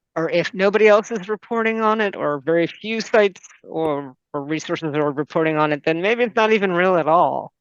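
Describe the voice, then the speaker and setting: Speaking with a plain, everyday voice, a woman talks at a fairly quick pace and fairly low pitch with hardly any pauses. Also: ordinary pitch variation. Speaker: medical librarian presenting a webinar. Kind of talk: webinar presentation with Q&A. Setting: online video meeting, screen sharing.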